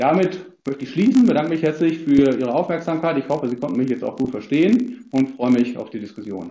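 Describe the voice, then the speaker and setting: A man with a fairly high pitch and a dark, mellow tone talks at a very fast pace with lively intonation and hardly any pauses. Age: 50s. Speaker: economics professor. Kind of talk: expert presentation at a parliamentary hearing. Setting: video call. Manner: hesitant, many fillers.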